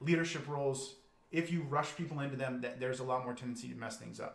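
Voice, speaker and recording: Audible room echo surrounds a man speaking at a very fast pace. His voice is fairly high, with ordinary pitch variation. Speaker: business coach. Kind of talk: live webinar presentation. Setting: livestream video.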